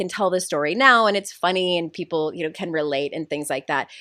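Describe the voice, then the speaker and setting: A loud woman at a very fast pace. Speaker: life coach and author. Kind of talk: podcast interview.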